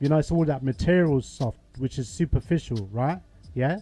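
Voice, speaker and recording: The man's voice sits fairly high and has a dark, mellow tone, with ordinary pitch variation. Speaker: talk show host. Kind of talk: call-in discussion. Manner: loud.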